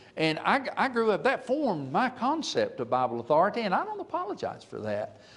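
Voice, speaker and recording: A man with an Alabama accent talks at a fairly quick pace, with hardly any pauses. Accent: Southern US (Alabama). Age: 70s. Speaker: preacher. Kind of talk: sermon. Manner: halting, frequent fillers.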